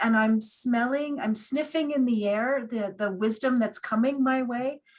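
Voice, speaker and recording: A woman's fairly high-pitched, unremarkable speaking voice with ordinary pitch variation. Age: 60s. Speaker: hospital chaplain and priest. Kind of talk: seminar talk.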